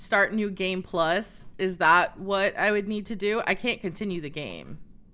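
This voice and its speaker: A woman's medium-pitched voice, bright and sharp in tone, animated and fairly slow. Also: very clean recording, silent background. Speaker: Twitch streamer. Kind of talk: live gameplay stream.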